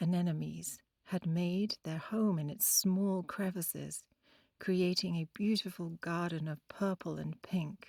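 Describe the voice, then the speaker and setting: A woman with an Oxford accent speaks at a fairly slow pace in a fairly low voice, her gentle, soothing tone dark and mellow with fairly even intonation, the sound dry and close with no echo in a very clean recording with a silent background. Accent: British, Oxford. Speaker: storyteller. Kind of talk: children's bedtime story. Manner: gentle, calming, soothing; clear pronunciation.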